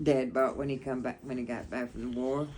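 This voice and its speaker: A woman with a Southern US accent talks at a moderate pace in a very deep, low pitch. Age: 80s+. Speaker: grandmother sharing memories. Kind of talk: casual chat.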